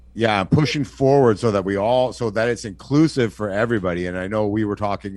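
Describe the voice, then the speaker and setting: Against a quiet background, a man talks at a very fast pace. His pitch variation is ordinary. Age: 40s. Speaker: podcast host. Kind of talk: casual chat.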